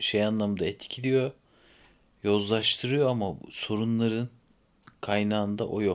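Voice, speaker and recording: A quiet man's voice, fairly low and fairly even in intonation, at a fairly slow pace in a very clean recording with a silent background. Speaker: podcast host. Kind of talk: casual chat.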